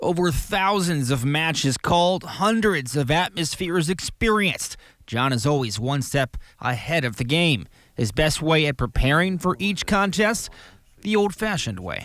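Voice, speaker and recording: A man with an unremarkable speaking voice, fairly high in pitch, talks at a moderate pace with lively intonation on a very clean recording with a silent background. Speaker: sports reporter and anchor. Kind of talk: TV feature story narration.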